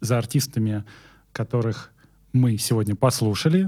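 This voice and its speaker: A man at medium pitch with a dark, mellow tone, speaking at a fairly slow pace on a very clean recording with a silent background. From Moscow region, Russia. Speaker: music journalist and podcast host. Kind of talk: podcast presenting; casual chat.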